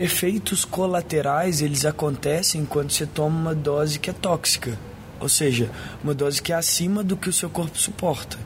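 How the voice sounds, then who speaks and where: With noticeable background noise, a man talks at a moderate pace in a fairly high pitch and with ordinary pitch variation. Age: 20s. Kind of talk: recorded interview testimony.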